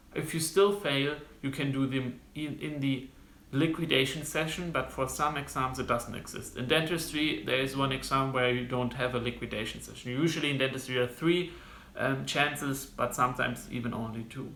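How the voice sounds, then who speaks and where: A man with a German accent speaks at a fairly quick pace and a medium pitch, his intonation fairly even, with audible echo in the room. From Germany. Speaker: medical student vlogger. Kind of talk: informational vlog monologue. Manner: halting, many fillers.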